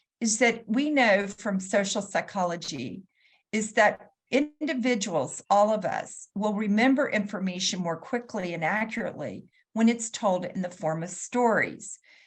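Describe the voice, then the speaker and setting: Against a quiet background, a woman with a medium pitch and a somewhat breathy voice speaks at a moderate pace. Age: 60s. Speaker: patient advocate and health consultant. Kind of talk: conference talk.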